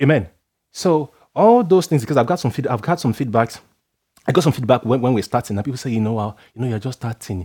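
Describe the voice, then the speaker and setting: Very fast and full of lively intonation, a man's dark, mellow voice comes through a very clean recording with a silent background. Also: medium pitch for a man. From Nigeria. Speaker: preacher. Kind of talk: sermon.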